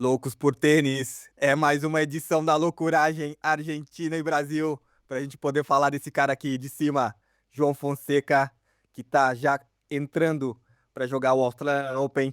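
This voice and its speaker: In a very clean recording with a silent background and a dry, close sound with no echo, a man talks at a fairly slow pace in a fairly high pitch with monotone, flat intonation. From Brazil. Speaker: tennis podcast host. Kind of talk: casual chat.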